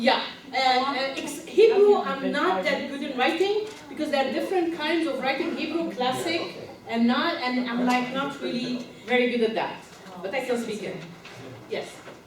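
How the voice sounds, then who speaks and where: A woman with a non-native accent and a high pitch at a moderate pace, with noticeable background noise and audible room echo. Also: lively intonation. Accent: foreign. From Egypt, raised in several countries. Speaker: leadership and diversity consultant. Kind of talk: live training workshop. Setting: conference room with audience.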